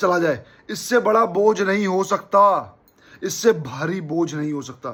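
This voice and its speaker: With a bright, sharp tone, the man talks using ordinary pitch variation. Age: 30s. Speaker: football YouTuber. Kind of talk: emotional video commentary.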